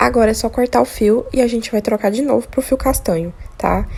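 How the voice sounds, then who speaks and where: Soft-spoken and fairly quick, a woman talks at a fairly high pitch with ordinary pitch variation over noticeable background noise. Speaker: crochet tutorial maker. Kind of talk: tutorial.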